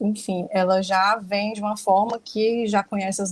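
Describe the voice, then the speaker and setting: Her voice comes across somewhat breathy. The woman keeps a fairly slow pace. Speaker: spiritist study group speaker. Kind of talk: lecture. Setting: livestream.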